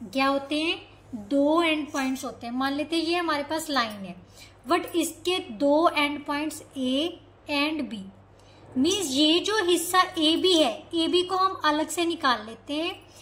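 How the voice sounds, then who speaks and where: This woman's voice sits high in pitch, with ordinary pitch variation. Audible room echo surrounds her. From Punjab, India. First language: Punjabi (speaking Hindi). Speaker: maths teacher. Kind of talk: lecture. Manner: repetitive questioning, teacherly.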